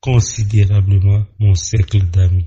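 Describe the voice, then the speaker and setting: A man with a Beninese accent speaks at a very slow pace and fairly low pitch. His voice is somewhat breathy, with monotone, flat intonation. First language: Fon (speaking French). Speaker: court officer. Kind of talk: radio interview. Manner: formal.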